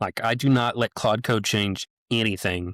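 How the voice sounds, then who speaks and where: A man with a Midwestern American accent speaks in fairly even intonation, the sound dry and close with no echo over a silent background in a very clean recording. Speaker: tech podcast host. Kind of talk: casual chat.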